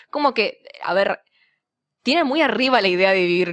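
A woman with an Argentine accent and medium pitch makes very wide pitch swings in a very clean recording with a silent background. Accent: mild Argentine. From Misiones, Argentina. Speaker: university student. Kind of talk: casual chat.

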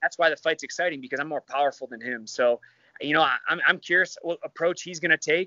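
A man with a Midwestern American accent at a fairly high pitch and a very fast pace. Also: ordinary pitch variation. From Michigan. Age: 30s. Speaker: MMA fighter. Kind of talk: casual chat.

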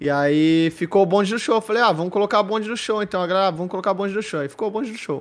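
The speech comes at a very fast pace. Its pitch varies in an ordinary way. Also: man, high pitch for a man. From Santos, São Paulo coast, Brazil. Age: 30s. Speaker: esports commentator and host. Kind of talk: casual chat. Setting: live-streamed podcast call.

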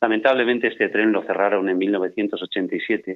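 A man talks in a fairly low pitch. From Barcelona, Spain (Andalusian-born). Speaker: voice-over narrator and broadcaster. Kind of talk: interview.

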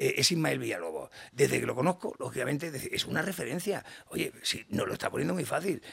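A man's fairly quick delivery comes through with noticeable background noise behind it. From Catalonia, Badalona. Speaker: business founder and CEO. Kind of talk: interview. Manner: animated.

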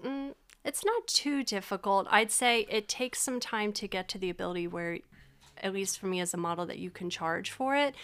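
A woman with an American accent speaks in a normal speaking voice, at medium pitch and a fairly quick pace. Her intonation is lively, and the recording is very clean with a silent background. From Pennsylvania, Berks County (Reading). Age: 30s. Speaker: model and social service worker. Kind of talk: casual chat.

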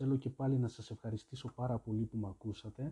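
Somewhat breathy voice with a dark, mellow tone and fairly even intonation. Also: man. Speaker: podcast host. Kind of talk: solo monologue podcast. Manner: halting.

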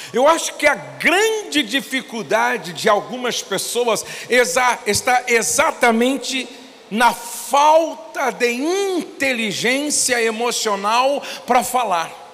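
Lively intonation comes through at a very slow pace, with noticeable background noise. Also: man, extremely high pitch for a man. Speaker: pastor. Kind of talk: sermon.

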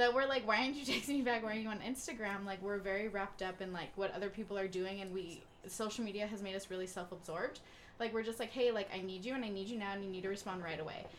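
Very fast speech amid noticeable background noise and audible room echo. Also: woman, medium pitch for a woman, ordinary pitch variation. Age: 20s. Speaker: podcast co-host. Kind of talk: casual chat.

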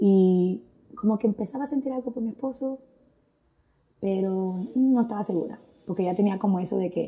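Somewhat breathy, with a dark, mellow tone, a woman speaks at a medium pitch and moderate pace with ordinary pitch variation and long, frequent pauses. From Dominican Republic, Santo Domingo. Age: 40s. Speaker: churchgoer sharing testimony. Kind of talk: testimony.

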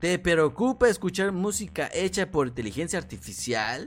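With a Mexican accent, the speaker sounds animated, using lively intonation on a very clean recording with a silent background. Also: man. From Mexico, Morelos. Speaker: podcast host. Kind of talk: casual live stream talk. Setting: live stream.

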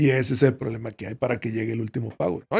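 This is a man talking. He goes at a very fast pace. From Mexico, Veracruz. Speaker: retired footballer. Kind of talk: casual chat.

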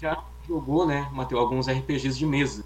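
There is audible room echo. A man speaks at a fairly slow pace. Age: young. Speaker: podcast co-host. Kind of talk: casual chat.

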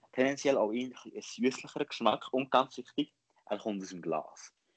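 A man speaks in a Lucerne accent at a moderate pace with ordinary pitch variation. The sound is dry and close, with no echo. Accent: Lucerne hinterland Swiss German dialect. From Switzerland, Lucerne hinterland. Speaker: podcast host. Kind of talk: casual chat.

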